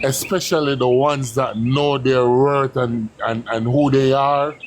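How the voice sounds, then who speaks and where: Fairly slow, fairly even intonation over noticeable background noise. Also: man, medium pitch for a man. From Jamaica. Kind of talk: heated debate.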